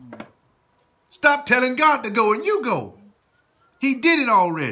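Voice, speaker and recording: Raising and projecting his voice, a man speaks with passion at a moderate pace, his extremely high pitch swinging very widely and his loudness rising and falling sharply. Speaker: pastor, church preacher. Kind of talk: live sermon, preaching to congregation. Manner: emphatic, passionate.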